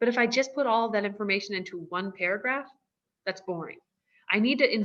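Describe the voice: Plain reading aloud with ordinary pitch variation, set against a quiet background.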